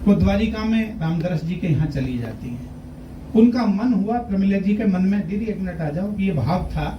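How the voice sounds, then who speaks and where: Against noticeable background noise, a high-pitched man speaks at a moderate pace. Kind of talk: speech at award ceremony.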